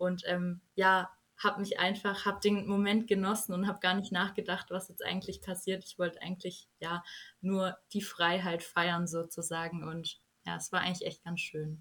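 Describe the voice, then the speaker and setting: At a moderate pace, a woman talks in a monotone, flat intonation with medium pitch. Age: young. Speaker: journalism student, recent school graduate. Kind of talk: casual interview.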